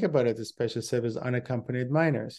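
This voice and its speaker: A man talks in a dark, mellow tone with ordinary pitch variation. The background is quiet. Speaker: travel show host. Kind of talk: casual explanatory talk. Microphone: webcam.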